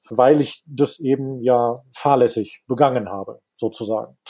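Fairly even in intonation, a man's voice carries a dark, mellow tone. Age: 40s. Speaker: listener sharing personal insolvency story. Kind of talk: interview testimony.

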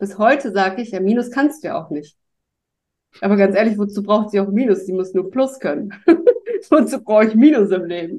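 Speaking at a fairly quick pace with long, frequent pauses, a woman has a medium pitch, ordinary pitch variation and a dark, mellow tone. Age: 40s. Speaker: podcast guest. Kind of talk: casual chat.

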